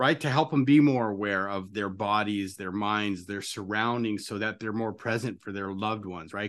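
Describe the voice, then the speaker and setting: A man with a plain, everyday voice speaks at a fairly quick pace, his fairly low pitch holding fairly even intonation over a quiet background. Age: 50s. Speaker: podcast host. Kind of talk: interview conversation.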